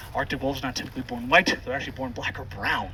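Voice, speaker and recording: Loud and very fast, a man speaks with lively intonation over noticeable background noise. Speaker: wildlife center tour guide. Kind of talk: guided tour talk.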